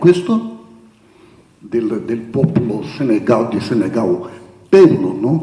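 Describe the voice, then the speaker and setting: With audible room echo and noticeable background noise, the voice moves at a fairly slow pace through very wide pitch swings. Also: man. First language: Portuguese (speaking Italian). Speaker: theologian speaker. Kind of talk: conference talk. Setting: conference hall with audience. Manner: halting.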